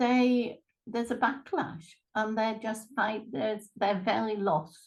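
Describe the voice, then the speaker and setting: This woman has a fairly high pitch and a somewhat breathy voice with an East Midlands accent. She talks at a fairly slow pace. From England, Lincolnshire. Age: 70s. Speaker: retired therapist and life coach. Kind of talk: interview.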